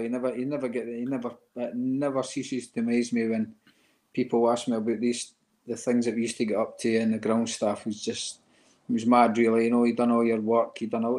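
At a fairly quick pace, a man talks in an Edinburgh accent. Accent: Edinburgh Scottish. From Scotland, Edinburgh; Scotland. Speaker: retired footballer; interview guest. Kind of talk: interview. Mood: warm, nostalgic. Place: home room. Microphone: video call.

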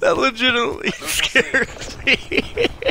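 A man's voice with very wide pitch swings, dry with no echo, over noticeable background noise. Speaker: gaming YouTuber; gamer. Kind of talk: live gameplay commentary. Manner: animated. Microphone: studio mic.

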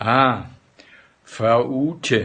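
His pitch moves up and down in an ordinary way. The voice belongs to a man. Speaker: vlogger. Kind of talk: casual vlog chat, reading ads aloud with comments. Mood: amused, joking. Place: home room. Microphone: phone near.

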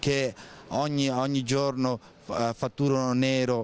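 The recording of this man is dry, with no echo. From Voghera, Lombardy, northern Italy; Lombardy, Italy. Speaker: passer-by in street interview. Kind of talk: street interview. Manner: halting, repeated words. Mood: critical, opinionated. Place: street. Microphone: handheld.

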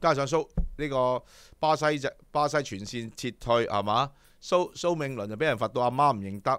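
A man's animated voice at a moderate pace, ordinary pitch variation, dry sound with no echo and a quiet background. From Hong Kong. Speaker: horse racing show host. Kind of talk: casual chat. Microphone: studio mic.

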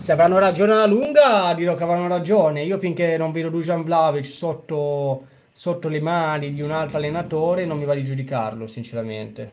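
A man's fairly high voice at a fairly quick pace with ordinary pitch variation, an unremarkable speaking voice. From Genoa, Italy; Italy. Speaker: football fan streamer. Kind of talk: live reaction commentary. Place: home room.

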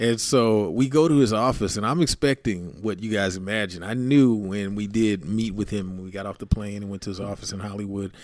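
In an ordinary speaking voice, a man with an American accent talks at a fairly low pitch with ordinary pitch variation and hardly any pauses. His loudness swings widely, and the recording is very clean, with a silent background. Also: fairly quick pace. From San Francisco Bay Area, California. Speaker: music producer. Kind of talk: casual chat.

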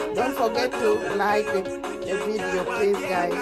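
Music is heard in the background. The talking proceeds at a very slow pace. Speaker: vlogger. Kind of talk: casual vlog chat. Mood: warm, cheerful. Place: car. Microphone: phone near.

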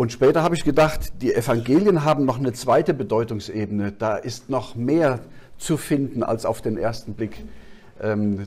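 Ordinary pitch variation at a moderate pace. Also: man. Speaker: preacher. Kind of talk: sermon. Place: hall.

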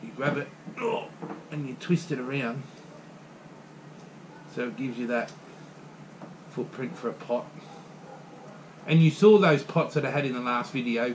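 A man speaks at a fairly slow pace in a medium pitch, with ordinary pitch variation and long, frequent pauses.

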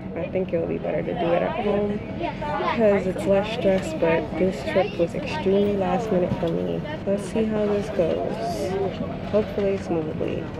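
Crowd noise fills the background as a woman talks at a moderate pace. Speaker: travel vlogger. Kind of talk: casual vlog chat. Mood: hopeful, slightly anxious. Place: plane. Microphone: phone near.

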